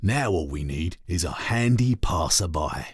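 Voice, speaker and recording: A man puts on a gruff character voice with a very deep, low pitch. He speaks at a moderate pace. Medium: read story.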